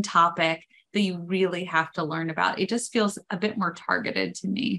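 A woman's medium-pitched voice at a moderate pace, with fairly even intonation. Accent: American. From New York. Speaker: audiobook producer and voiceover coach. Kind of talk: interview answer. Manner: casual, chatty. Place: home room. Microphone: video call.

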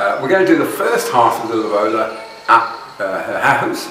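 With audible room echo and light background noise, a man speaks at a fairly quick pace. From United Kingdom. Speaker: vlogger. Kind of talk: vlog monologue. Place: home room.

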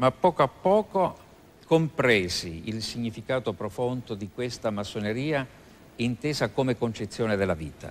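With an unremarkable speaking voice, a man of medium pitch talks at a moderate pace with lively intonation. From Italy, Abruzzo. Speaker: philosophy professor and Masonic grand master. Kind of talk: TV interview. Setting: TV studio with audience. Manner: formal.

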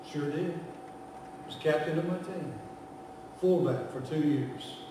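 A man talks slowly at a fairly high pitch. Strong room echo surrounds his voice. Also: ordinary pitch variation.

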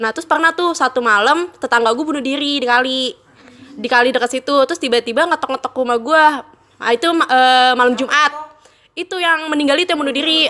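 A woman speaks in a raised, projected voice. Her pace is very fast. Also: ordinary pitch variation. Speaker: guest storyteller. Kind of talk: casual storytelling. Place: home room. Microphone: studio mic.

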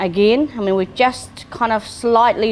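Speech comes at a very slow pace with ordinary pitch variation. Light background noise can be heard. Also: woman. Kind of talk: cooking tutorial. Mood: warm, enthusiastic. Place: kitchen.

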